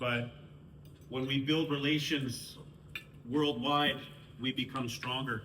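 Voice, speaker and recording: A man with a Canadian accent at medium pitch, monotone and flat, very slow with long, frequent pauses, with audible room echo and noticeable background noise. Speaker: First Nations councillor. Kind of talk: speech to a sports team.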